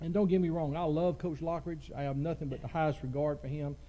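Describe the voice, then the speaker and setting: A man's fairly high-pitched voice with a dark, mellow tone and audible room echo. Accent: Southern US. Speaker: high school football coach. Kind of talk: press conference interview.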